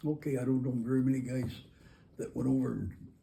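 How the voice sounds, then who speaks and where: Medium-pitched man with an American accent, a somewhat breathy, dark, mellow tone and a fairly quick pace. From Michigan, Bay County, rural. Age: 80s+. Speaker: army veteran. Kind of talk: oral history interview. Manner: halting.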